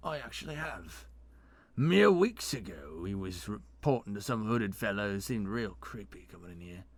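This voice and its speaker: In a raspy, put-on character voice with lively intonation, a man speaks at a moderate pace and a fairly low pitch, on a very clean recording with a silent background. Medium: read story. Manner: casual, plain-spoken.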